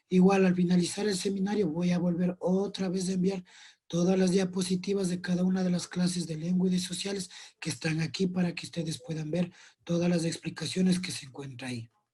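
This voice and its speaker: The speech goes at a fairly quick pace. Its tone is dark and mellow, with fairly even intonation. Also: man, high pitch for a man. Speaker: teacher. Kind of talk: lecture.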